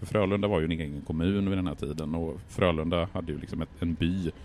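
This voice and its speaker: Talking at a very fast pace, a man speaks in a very deep, low pitch. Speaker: high school history teacher and writer. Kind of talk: casual conversational history talk. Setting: outdoors at a café on a square.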